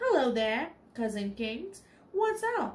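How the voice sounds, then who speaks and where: A woman's put-on character voice, squeaky and high-pitched, with very wide pitch swings at a fairly slow pace. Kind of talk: reading aloud from a book in a lesson. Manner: casual, cheeky.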